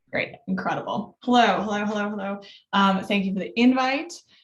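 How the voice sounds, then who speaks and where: Amid audible room echo, a woman speaks at a medium pitch, somewhat breathy, with ordinary pitch variation. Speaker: data visualization designer. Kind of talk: conference talk. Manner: fast; many filler words.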